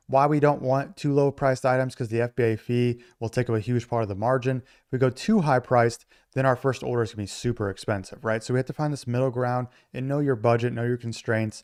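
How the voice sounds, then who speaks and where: Over a quiet background, a man of medium pitch speaks at a very fast pace with fairly even intonation. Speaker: online business tutorial creator. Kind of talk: tutorial. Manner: casual.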